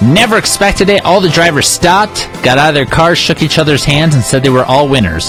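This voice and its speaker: A man speaks in an upbeat tone at a fairly high pitch. Music plays in the background. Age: 30s. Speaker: country radio DJ. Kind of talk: radio DJ break. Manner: upbeat, jokey, conversational.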